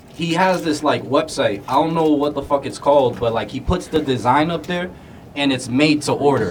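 At a moderate pace, a man with an American accent and a fairly high pitch talks over noticeable background noise. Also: ordinary pitch variation. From Florida. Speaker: podcast host. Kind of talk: casual chat.

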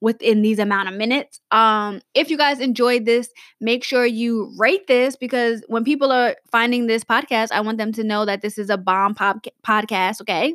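Speaking at a moderate pace with hardly any pauses, a woman uses an animated tone and ordinary pitch variation in a dry, close sound with no echo and a very clean recording with a silent background. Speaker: podcast host and writing coach. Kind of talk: casual solo podcast tutorial.

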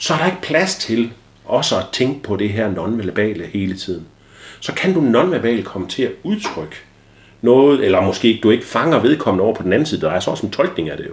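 Very wide pitch swings at a fairly quick pace. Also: man, medium pitch for a man. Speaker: ADHD expert guest and father. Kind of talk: casual interview chat. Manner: loud.

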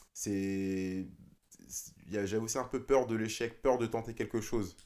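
A man talks in a medium-pitched voice. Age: 30s. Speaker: DJ. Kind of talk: casual chat. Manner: halting.

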